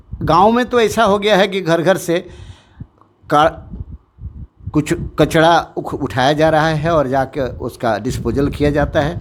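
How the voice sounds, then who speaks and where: The intonation is lively, with vocal fry. Long pauses come often. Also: man, fairly high pitch for a man. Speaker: retired army officer, school head. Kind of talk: interview statement.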